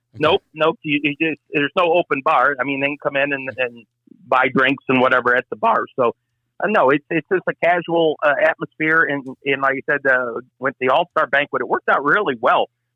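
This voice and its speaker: A man with an American accent and an unremarkable speaking voice, fairly high-pitched, at a moderate pace. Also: ordinary pitch variation. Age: 60s. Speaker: race track announcer. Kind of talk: casual chat.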